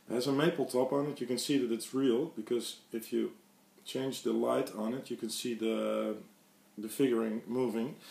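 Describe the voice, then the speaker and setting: Fairly even intonation at a moderate pace, in a Dutch accent. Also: man, medium pitch for a man. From Netherlands. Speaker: guitar hobbyist YouTuber. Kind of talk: casual show-and-tell video. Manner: halting, many fillers.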